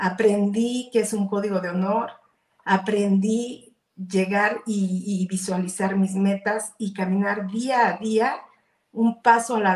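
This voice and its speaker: Very slow, somewhat breathy speech from a woman at a medium pitch, with fairly even intonation and big swings in loudness. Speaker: entrepreneur. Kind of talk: interview.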